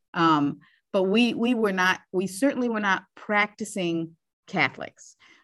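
Speaking at a fairly slow pace with lively intonation, a woman with an American accent uses an ordinary speaking voice at medium pitch, in a very clean recording with a silent background. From northeast Ohio. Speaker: teacher. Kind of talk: interview.

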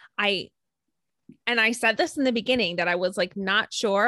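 The speech moves at a moderate pace, recorded with a dry, close sound and no echo. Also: woman. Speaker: podcast co-host. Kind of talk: casual chat.

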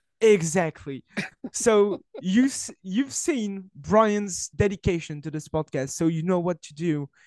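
A man with a French accent, high-pitched, at a fairly slow pace, with lively intonation, big swings in loudness and a dry, close sound with no echo. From France. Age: 20s. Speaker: wrestling journalist. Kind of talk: casual interview conversation. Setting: remote recording, video call. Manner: halting, searching for words.

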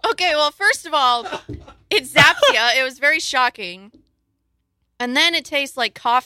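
A woman's raised, projected, high voice, bright and sharp, with lively intonation at a moderate pace, long, frequent pauses and a dry, close sound with no echo. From rural area. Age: 20s. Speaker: podcast guest. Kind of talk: casual chat. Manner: animated.

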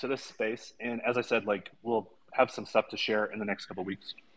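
This is a man speaking. He has a normal speaking voice. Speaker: crypto entrepreneur. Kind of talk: casual chat. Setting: cafe. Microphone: slightly muffled audio.

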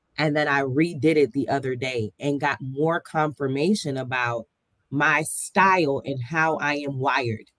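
Speaking in an American accent, a woman has a very deep, low pitch and an animated tone. Her pace is fairly slow, with ordinary pitch variation. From US South, Miami. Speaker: coach, podcast co-host. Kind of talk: casual chat.

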